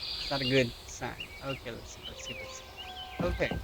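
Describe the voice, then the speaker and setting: A man at a moderate pace, with audible room echo and music in the background. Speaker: gaming streamer. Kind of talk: let's play commentary. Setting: home at night. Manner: soft-spoken.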